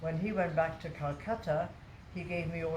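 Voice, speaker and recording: Speaking at a moderate pace, a woman uses a fairly low pitch and ordinary pitch variation, with audible room echo in the recording. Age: 80s+. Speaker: yoga teacher. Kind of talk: casual interview. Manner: halting.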